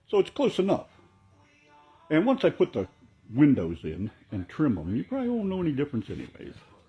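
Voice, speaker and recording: With music playing in the background, a man talks at a moderate pace in a fairly high pitch that swings very widely. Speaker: hobbyist model railroad builder. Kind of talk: workshop tutorial walkthrough. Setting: home workshop. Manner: casual, rambling with fillers.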